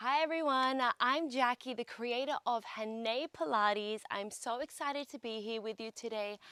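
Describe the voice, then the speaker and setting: Upbeat and bright, a woman with an Australian accent speaks at a moderate pace with a high, sharp voice and ordinary pitch variation. The sound is dry and close with no echo, and the recording is very clean with a silent background. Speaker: pilates instructor. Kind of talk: guided workout instruction. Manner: upbeat, encouraging.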